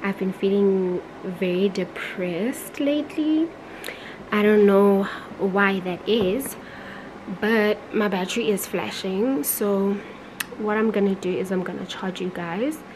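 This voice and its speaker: Over noticeable background noise, a woman speaks at a fairly slow pace with long, frequent pauses. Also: ordinary pitch variation. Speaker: vlogger. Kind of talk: casual vlog chat. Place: home room. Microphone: phone near.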